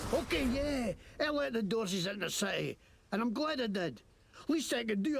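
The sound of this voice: The voice is an unforced reading voice. It reads the text through.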